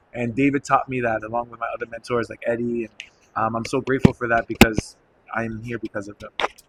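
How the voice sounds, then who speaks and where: Over noticeable background noise, a man with an American accent speaks at a very fast pace in a medium pitch, with monotone, flat intonation, big swings in loudness, and a dry, close sound with no echo. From New York City, the Bronx. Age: 30s. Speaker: salsa instructor. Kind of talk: interview. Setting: dance festival.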